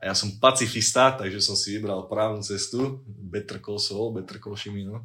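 Speaking at a moderate pace with hardly any pauses, a man with a plain, everyday voice keeps a fairly low pitch and fairly even intonation. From Slovakia, Liptov region. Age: 20s. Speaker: university student. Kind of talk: casual chat. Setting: late-night recording in student dorm.

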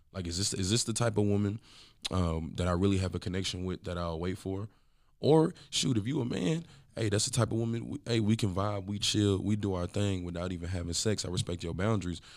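Recorded very cleanly against a silent background, a man with an unremarkable speaking voice and an American accent talks at a fairly quick pace with ordinary pitch variation. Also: fairly low pitch for a man. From Texas, Dallas area. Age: 20s. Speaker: business owner and podcast co-host. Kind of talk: casual chat.

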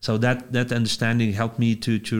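A man with a Lithuanian accent at a medium pitch, fairly quick pace, on a very clean recording with a silent background. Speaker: pastor. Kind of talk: interview. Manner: halting.

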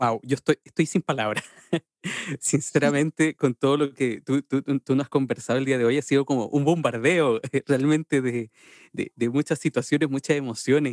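A man with a fairly high pitch talks at a moderate pace, his loudness very even and the sound dry and close with no echo. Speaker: podcast host. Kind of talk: casual interview. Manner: animated.

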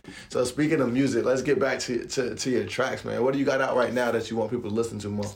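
A man with an American accent rattles along at a very fast pace with hardly any pauses, his pitch medium, over noticeable background noise. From Raleigh, North Carolina. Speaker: podcast host. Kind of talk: interview. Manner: energetic.

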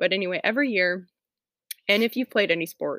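With an American accent, a woman uses a normal speaking voice at medium pitch and lively intonation. The recording is very clean with a silent background, and the sound is dry and close with no echo. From US South, Atlanta. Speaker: homemaking podcaster, mother. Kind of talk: casual solo podcast talk. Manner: frequent fillers, chatty.

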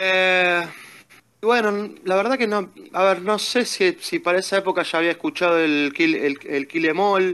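A man with a Rioplatense accent speaks at a fairly slow pace in a high pitch, with ordinary pitch variation and very even loudness. His tone is bright and sharp, and the background is quiet. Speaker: metal fan. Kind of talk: casual chat. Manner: halting, frequent repetitions.

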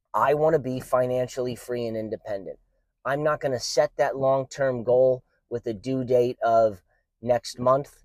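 In a dry, close recording with no echo, a man at medium pitch speaks at a moderate pace with fairly even intonation. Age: 30s. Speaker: podcast host. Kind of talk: solo monologue podcast. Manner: halting, many filler words.

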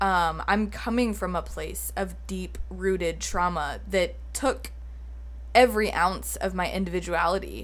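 Audible room echo hangs around the woman's voice. She talks at a fairly slow pace. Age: 20s. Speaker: podcast host. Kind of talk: solo monologue podcast. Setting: home office recording with video. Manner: casual, filler-heavy.

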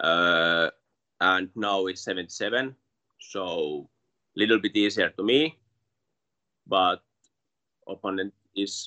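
Long, frequent pauses break up a man's speech in a Finnish accent. His pitch is fairly low, with ordinary variation. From Finland. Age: 20s. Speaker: MMA fighter. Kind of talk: interview. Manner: halting.

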